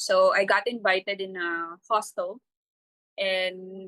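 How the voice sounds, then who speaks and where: Heard in a dry, close sound with no echo, a woman talks at a medium pitch in a bright, sharp tone. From Philippines, Tacloban (Leyte, Eastern Visayas). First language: Waray-Waray. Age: 40s. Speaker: entrepreneur. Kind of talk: interview testimony. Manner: hesitant, many fillers.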